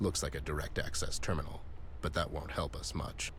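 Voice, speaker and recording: A man speaks in a put-on character voice at a fairly quick pace. Background noise is clearly audible. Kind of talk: hard-boiled noir detective. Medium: video game. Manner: dry, deadpan.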